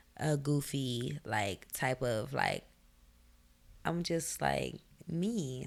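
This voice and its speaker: A woman's very deep, low voice, shaky and full of vocal fry, with lively intonation. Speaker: singer and rapper. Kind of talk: interview.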